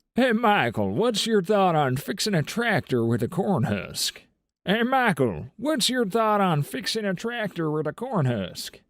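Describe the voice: Putting on a drawling character voice, a man speaks high in pitch at a moderate pace with very wide pitch swings, recorded very cleanly against a silent background.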